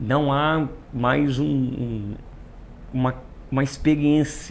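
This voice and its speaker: This man talks very slowly, his pitch medium and his intonation fairly even. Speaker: pastor. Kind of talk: casual chat.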